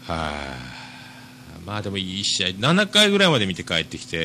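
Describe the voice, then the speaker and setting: A man speaks with very wide pitch swings. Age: 40s. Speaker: podcast host. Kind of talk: casual monologue. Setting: shop.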